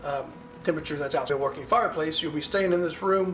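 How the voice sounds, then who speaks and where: Noticeable background noise sits behind this voice. A man speaks at a high pitch with fairly even intonation. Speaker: survival preparedness youtuber. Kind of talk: informal tutorial talk. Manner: fast; many fillers like um and uh.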